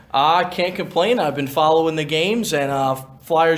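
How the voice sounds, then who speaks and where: Fairly high pitch from a man, set against noticeable background noise. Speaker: public address announcer. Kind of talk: casual sports analysis for an intermission show.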